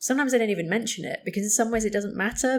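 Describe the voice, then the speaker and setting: A woman with a British accent at a very fast pace. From UK. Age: 30s. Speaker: psychotherapist. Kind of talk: interview conversation.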